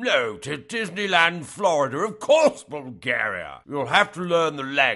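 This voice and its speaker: A man does a put-on character voice with a fairly high pitch. His pitch swings very widely. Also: moderate pace. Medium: audio drama. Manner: curt, brusque.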